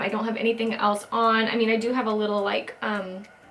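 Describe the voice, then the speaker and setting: A woman talks at a fairly quick pace in a fairly high voice, with noticeable background noise behind her. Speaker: beauty vlogger. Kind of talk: makeup tutorial. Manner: quiet.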